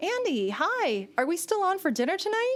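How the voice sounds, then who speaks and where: Using a put-on character voice, a woman speaks at an extremely high pitch, squeaky and with a bubbly tone, her pitch swinging very widely at a moderate pace. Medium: read story. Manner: bubbly, chatty.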